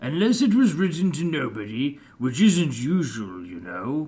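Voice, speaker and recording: Using a put-on character voice, a man speaks at a moderate pace in a fairly high pitch, with very wide pitch swings and big swings in loudness. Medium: read story. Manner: pompous.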